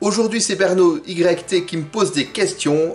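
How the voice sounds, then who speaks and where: A man talks at a moderate speed while music plays in the background. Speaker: beer-tasting youtuber. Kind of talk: casual vlog talk. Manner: mumbling at times.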